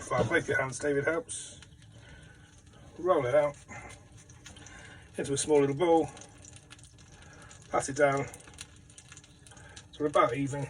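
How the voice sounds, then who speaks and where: A man with a fairly high pitch and fairly even intonation speaks with long, frequent pauses through noticeable background noise. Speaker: home cook. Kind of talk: cooking tutorial. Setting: caravan kitchen. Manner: fast.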